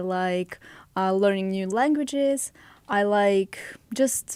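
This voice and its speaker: On a very clean recording with a silent background, a woman with a Russian accent talks at a medium pitch with ordinary pitch variation. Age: 20s. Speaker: podcast guest, host's girlfriend. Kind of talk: casual podcast chat.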